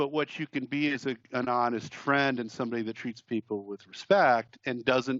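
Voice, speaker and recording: A man talks at a moderate pace and medium pitch, with ordinary pitch variation and hardly any pauses. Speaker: musician and producer. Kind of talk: casual chat. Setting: remote call. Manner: loud; halting.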